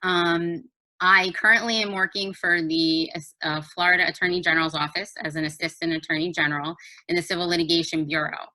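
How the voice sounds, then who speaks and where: With a New Jersey accent, a woman talks at a fairly quick pace in a bright, sharp tone, fairly low pitch and fairly even intonation. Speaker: judicial candidate, lawyer. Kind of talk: candidate introduction. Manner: hesitant, many fillers.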